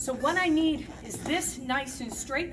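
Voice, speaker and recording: Noticeable background noise and audible room echo surround a woman's voice. Her pitch is high, with ordinary pitch variation. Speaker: roller skating instructor. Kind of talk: tutorial. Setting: skating rink. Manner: animated.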